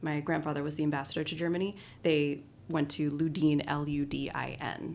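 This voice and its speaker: With a Colorado accent, a woman with a very deep, low pitch speaks at a fairly quick pace in a monotone, flat intonation. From Colorado, US. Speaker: design strategist and artist. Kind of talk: podcast interview. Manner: casual, with many fillers.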